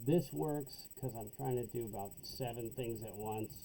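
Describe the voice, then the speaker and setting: Noticeable background noise sits behind a man speaking at medium pitch. He keeps a moderate pace with ordinary pitch variation. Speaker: accounting instructor. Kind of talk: tutorial. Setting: home basement. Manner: loud.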